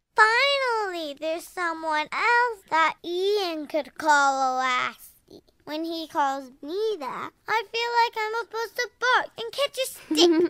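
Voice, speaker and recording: On a very clean recording with a silent background, a woman does a put-on character voice at an extremely high pitch and a fairly slow pace. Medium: audio drama. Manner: bubbly, enthusiastic.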